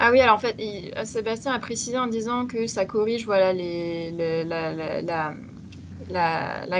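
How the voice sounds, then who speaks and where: At a very slow pace, a woman speaks in a medium pitch with ordinary pitch variation and big swings in loudness, over light background noise. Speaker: communications and recruitment officer; webinar presenter. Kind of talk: webinar hosting. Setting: video call. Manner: hesitant, many fillers. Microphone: video call.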